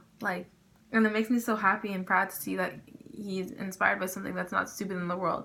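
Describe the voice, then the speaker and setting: A woman talks at a very fast pace with vocal fry. Her pitch is medium and her intonation fairly even. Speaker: vlogger. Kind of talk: casual vlog chat.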